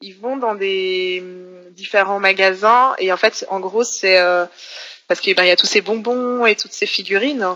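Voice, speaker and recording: Speaking fairly slowly, a woman keeps a medium pitch and fairly even intonation while her loudness swings a lot. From Switzerland, Geneva. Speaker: political science lecturer and activist. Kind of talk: interview. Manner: halting.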